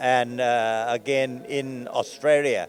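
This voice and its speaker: A man with a medium-pitched voice, speaking at a very slow pace. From Thailand. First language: Thai. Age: 70s. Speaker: Buddhist organization president. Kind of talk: interview. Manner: halting.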